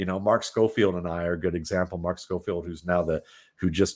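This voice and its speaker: A man speaks with an American accent in a very deep, low pitch. The recording is very clean and the background silent. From US Midwest, Cleveland Ohio. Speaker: football analyst. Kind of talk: podcast interview. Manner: halting.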